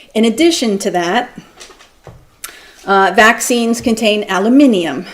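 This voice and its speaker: A woman speaks with ordinary pitch variation over noticeable background noise and audible room echo. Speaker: doctor and lecturer. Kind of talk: lecture. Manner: fast.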